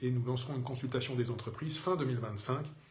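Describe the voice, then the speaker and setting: A man with a medium-pitched voice speaks with audible room echo. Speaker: mayor answering citizens' questions. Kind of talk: live Q&A broadcast. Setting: Facebook live video. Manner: hesitant, many fillers.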